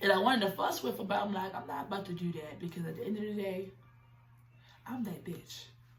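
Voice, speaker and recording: A woman's voice at a medium pitch and a very fast pace, with ordinary pitch variation, noticeable background noise and audible room echo. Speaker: YouTuber telling a personal story. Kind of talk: storytime monologue. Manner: animated.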